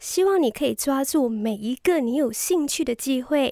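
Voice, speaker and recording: A woman's dark, mellow voice moves at a fairly slow pace with very wide pitch swings. The sound is dry and close with no echo, on a very clean recording with a silent background. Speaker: radio DJ trainee. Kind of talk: practice radio hosting segment.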